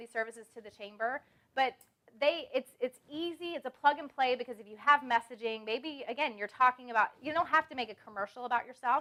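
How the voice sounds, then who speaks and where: A woman's high-pitched voice with a bright, sharp tone, ordinary pitch variation and a fairly quick pace. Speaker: branding speaker. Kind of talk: seminar talk. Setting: stage with audience. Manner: fast.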